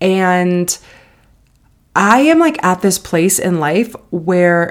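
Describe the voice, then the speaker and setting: The tone is animated. Intonation rises and falls in a lively way. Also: woman. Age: 30s. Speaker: podcast host. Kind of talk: casual chat.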